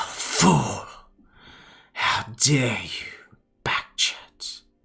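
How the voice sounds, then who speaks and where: Growling and breathy, a man does a put-on character voice at a very slow pace over faint music in the background. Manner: imperious, scolding.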